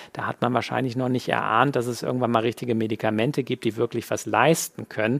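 A man at a very fast pace with hardly any pauses, monotone, flat intonation and vocal fry. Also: medium pitch for a man. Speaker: webinar host and physician. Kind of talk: live quiz-show hosting, reading questions and announcing winners. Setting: online webinar with chat.

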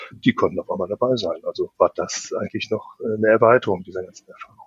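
In a dry, close recording with no echo, a man talks very fast. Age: 50s. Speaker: project manager and process optimizer. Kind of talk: podcast interview.

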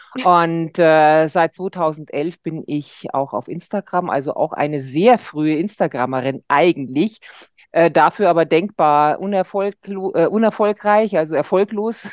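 Dry and close with no echo, a woman's voice moves at a fairly slow pace with ordinary pitch variation against a quiet background. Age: 50s. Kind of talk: casual chat.

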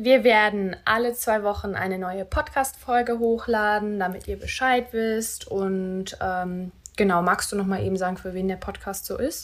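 At a fairly slow pace and with hardly any pauses, a woman with an unremarkable speaking voice talks at a medium pitch with fairly even intonation. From Rhineland, Germany (near Cologne). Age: 20s. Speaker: podcast co-host, virtual assistant. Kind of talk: casual chat. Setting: home bedroom recording.

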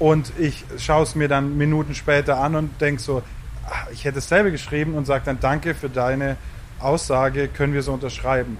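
Over noticeable background noise, a man talks at a fairly quick pace with a fairly high pitch and monotone, flat intonation. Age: 30s. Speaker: festival communications manager. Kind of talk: casual chat. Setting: outdoors.

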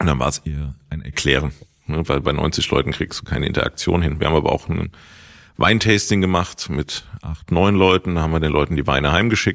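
The speech moves at a fairly quick pace with ordinary pitch variation. Vocal fry runs through the voice. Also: man, very deep, low pitch for a man. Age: 30s. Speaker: supermarket owner. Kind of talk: interview.

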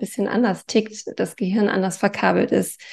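Vocal fry at a moderate pace. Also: woman. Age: 40s. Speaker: life coach. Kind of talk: interview.

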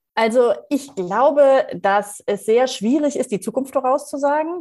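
Speaking at a moderate pace, a woman uses lively intonation in a normal speaking voice. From Rhineland, Germany (Leverkusen). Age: 40s. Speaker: leadership coach and keynote speaker. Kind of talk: interview.

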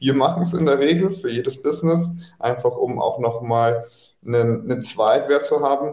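A man with a fairly high, somewhat breathy voice speaks at a moderate pace, his intonation lively and his loudness very even. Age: 30s. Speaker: M&A advisor for e-commerce businesses. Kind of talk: podcast interview.

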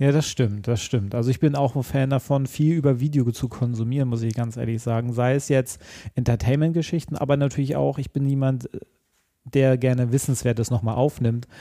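The voice has a dark, mellow tone, fairly even intonation and a fairly quick pace. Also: man, medium pitch for a man. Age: 30s. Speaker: podcast host. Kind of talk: interview.

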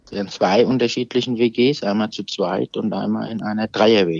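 Vocal fry marks this man's fairly low voice. His pitch varies in an ordinary way. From Germany, Aschaffenburg (Lower Franconia). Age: 50s. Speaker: social welfare manager. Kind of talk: casual interview. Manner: halting, many fillers and repetitions.

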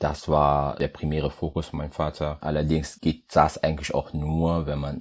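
Very deep and low in pitch, a man speaks at a moderate pace with vocal fry and monotone, flat intonation. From Germany, Düren area (Rhineland), came from Congo via Portugal aged 10-11. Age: 30s. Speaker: chemist and business development manager. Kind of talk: podcast interview.

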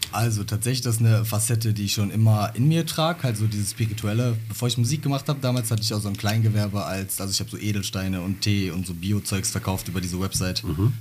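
A man at a very fast pace, with hardly any pauses, ordinary pitch variation, and noticeable background noise. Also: fairly low pitch for a man. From Germany, Bottrop. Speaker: rapper. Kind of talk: interview.

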